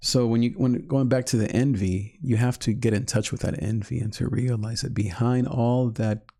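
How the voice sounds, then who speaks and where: In a calm tone, a man speaks at a medium pitch, somewhat breathy, with fairly even intonation. The recording is very clean, with a silent background. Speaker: online life coach and podcast host. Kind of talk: live-streamed teaching talk. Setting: live stream. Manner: slow; calm, repetitive.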